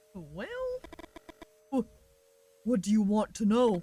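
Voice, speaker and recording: This put-on character voice sits fairly high in pitch and moves at a fairly slow pace. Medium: game stream. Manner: stammering, nervous.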